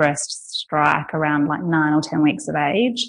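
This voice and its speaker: A moderate pace marks this speech. It is delivered in an Australian accent. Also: woman. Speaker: women's space founder and doula. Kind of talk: casual interview.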